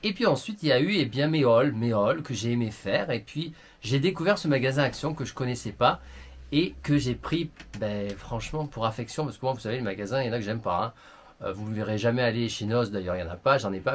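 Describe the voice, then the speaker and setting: Lively intonation marks this man's somewhat breathy, medium-pitched voice. He moves at a fairly quick pace. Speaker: beauty YouTuber. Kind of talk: vlog monologue to camera. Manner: animated.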